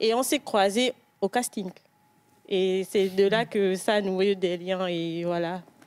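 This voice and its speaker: Using fairly even intonation, a woman at medium pitch speaks at a very slow pace with long, frequent pauses. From Gabon, Libreville. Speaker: actress. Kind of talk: TV interview.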